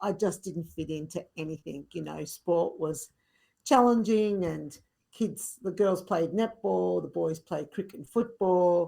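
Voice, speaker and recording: Speaking with an Australian accent, a woman uses a fairly low pitch, ordinary pitch variation and a moderate pace. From rural Victoria, Australia. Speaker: fitness instructor. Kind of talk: podcast interview.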